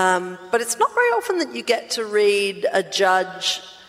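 With an Australian accent, a woman speaks at a very slow pace against noticeable background noise. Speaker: podcast co-host. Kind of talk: live podcast recording, casual banter. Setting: stage with audience. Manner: animated.

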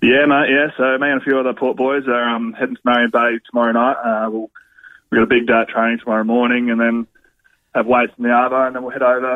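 This man talks very fast in an Australian accent, his pitch sitting in the middle range. His intonation stays monotone and flat throughout. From South Australia, Eyre Peninsula. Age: 30s. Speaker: footballer. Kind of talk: casual chat.

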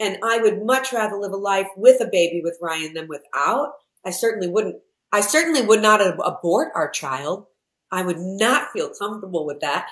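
This woman has a plain, everyday voice at a medium pitch. She talks at a moderate pace with lively intonation. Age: 50s. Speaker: entrepreneur. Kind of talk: casual chat.

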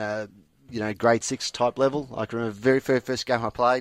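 In an Australian accent, a man speaks at a fairly quick pace with a medium pitch and monotone, flat intonation. The sound is dry and close with no echo, over a quiet background. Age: 40s. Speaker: football umpire. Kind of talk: casual chat. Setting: studio. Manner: halting.

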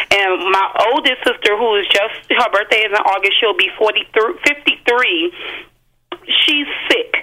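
A woman talks in a plain, everyday voice at a fairly high pitch and moderate pace. Her intonation is lively and her loudness very even. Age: 30s. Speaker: caller. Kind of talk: testimony.

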